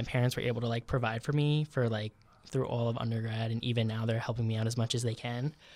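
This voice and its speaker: Here a man with an American accent talks at a medium pitch. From New York. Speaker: veterinary student. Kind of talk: casual chat.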